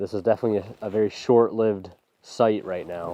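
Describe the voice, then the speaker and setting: A man's fairly low voice at a fairly quick pace. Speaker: landscape photographer vlogger. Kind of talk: outdoor vlog narration. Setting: outdoors in rain. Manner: casual, with fillers and repeats; talking loud. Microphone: mic under raincoat, may sound muffled.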